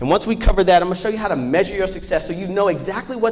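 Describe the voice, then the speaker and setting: A man with an American accent speaks in a high voice with an animated tone and ordinary pitch variation. Music plays in the background. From US Midwest, Chicago. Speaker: business owner, workshop presenter. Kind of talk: workshop presentation. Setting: stage with audience. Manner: fast.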